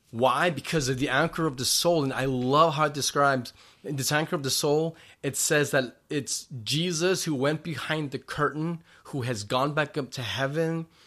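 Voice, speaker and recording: On a very clean recording with a silent background, a man with a plain, everyday voice speaks at a moderate pace and fairly high pitch, his intonation fairly even. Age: 40s. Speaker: pastor. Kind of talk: sermon; casual chat.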